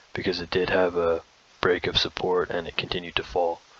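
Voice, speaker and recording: Behind this man's voice there is noticeable background noise. His pitch is very deep and low. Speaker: crypto trading video host. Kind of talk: tutorial. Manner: fast; halting, many fillers and restarts.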